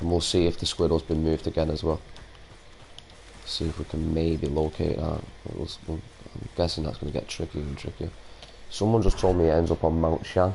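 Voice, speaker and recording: Noticeable background noise sits behind a man with a Manchester accent. His very deep, low voice is broken by long, frequent pauses. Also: fairly even intonation, fairly quick pace. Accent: Manchester accent, like the band's. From Salford, Greater Manchester, England. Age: 30s. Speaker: gaming streamer. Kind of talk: casual live-stream chat.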